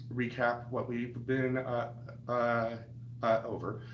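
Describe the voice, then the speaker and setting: A man's voice sounds somewhat breathy. There is audible room echo. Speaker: cooking channel host. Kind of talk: live stream tutorial. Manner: halting, many fillers.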